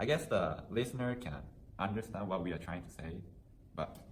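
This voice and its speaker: A man talks at a fairly quick pace with ordinary pitch variation. Room echo is audible around his voice. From Japan. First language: Japanese. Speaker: university student interviewee. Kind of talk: casual interview.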